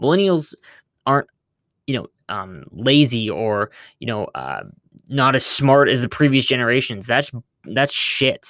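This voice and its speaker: On a very clean recording with a silent background, a man speaks at a medium pitch with ordinary pitch variation. His pace is fairly slow, with long, frequent pauses. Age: 20s. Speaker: gaming content creator and podcaster. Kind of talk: solo podcast monologue. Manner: energetic.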